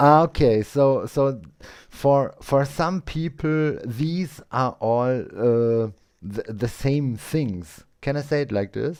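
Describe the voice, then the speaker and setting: With a German accent, a man talks at a very slow pace in a fairly high pitch. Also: ordinary pitch variation. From Austria. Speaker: English learner, live stream host. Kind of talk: casual chat. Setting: live stream with Zoom guest. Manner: halting.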